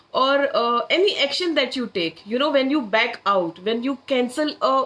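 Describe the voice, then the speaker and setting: A woman speaks loudly at a moderate pace, her high voice carrying lively intonation. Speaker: manifestation coach. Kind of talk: live-stream workshop. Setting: social media live stream.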